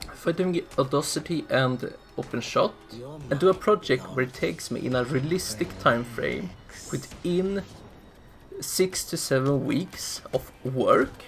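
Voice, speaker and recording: A man speaks loudly at a fairly slow pace, with a fairly high pitch, ordinary pitch variation, and long, frequent pauses, while music plays in the background. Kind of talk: casual channel update voiceover. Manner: speaking somewhat loudly.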